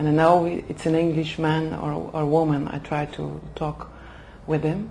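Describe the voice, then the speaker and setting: Over noticeable background noise, a woman with a Flemish accent speaks at a fairly slow pace. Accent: Flemish Dutch accent in English. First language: Dutch. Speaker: HR manager for executive development. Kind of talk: interview. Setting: language school in Oxford. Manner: halting, many fillers.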